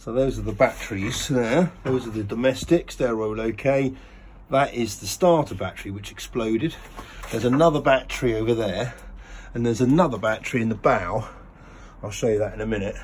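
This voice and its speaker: Light background noise sits behind a man. He speaks at a fairly quick pace with ordinary pitch variation. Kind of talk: casual vlog chat. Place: boat. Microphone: phone near.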